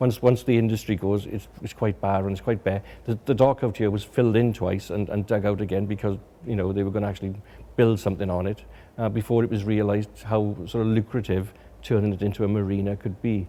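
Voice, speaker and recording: On a very clean recording with a silent background, a man with a South Wales accent speaks at a very fast pace. His pitch is fairly low, his tone dark and mellow, and his intonation fairly even. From Wales, Swansea. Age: 60s. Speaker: documentary photographer. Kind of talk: documentary interview. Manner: halting, many repetitions.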